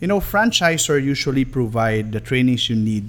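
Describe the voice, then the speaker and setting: With a Filipino accent, a man speaks in a lively intonation. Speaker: marketing executive. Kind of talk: promotional business talk. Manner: polite, code-switching Taglish.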